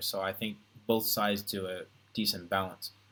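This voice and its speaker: A man with an American accent, fairly low in pitch and flat, monotone in intonation, on a very clean recording with a silent background. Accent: American accent, deliberately flattened. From United States. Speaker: entertainer and online streamer. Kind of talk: casual live stream Q&A. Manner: hesitant, many fillers.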